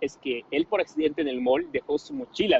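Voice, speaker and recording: Here is a man with an unremarkable speaking voice, set at a fairly high pitch. His pace is fairly quick and his pitch varies in an ordinary way. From Bolivia (La Paz). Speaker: young Bolivian who studied abroad. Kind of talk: casual chat.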